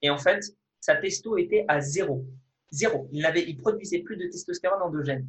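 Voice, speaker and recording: Speaking high for a man, he lets his pitch rise and fall in a normal way. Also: moderate pace. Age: 20s. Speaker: fitness video creator and kendo athlete. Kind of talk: interview. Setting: video call.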